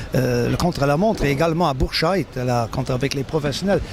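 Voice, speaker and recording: A man speaks at a moderate pace in a fairly high pitch. His pitch varies in an ordinary way, and noticeable background noise is present. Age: 60s. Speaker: cycling race announcer, retired teacher. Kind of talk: interview. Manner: halting, many repetitions.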